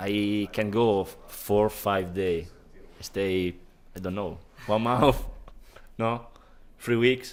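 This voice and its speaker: In an Italian accent, a man with a fairly low pitch speaks at a very slow pace, keeping his intonation fairly even and leaving long, frequent pauses. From Italy. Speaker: online poker player. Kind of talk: casual interview. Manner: halting.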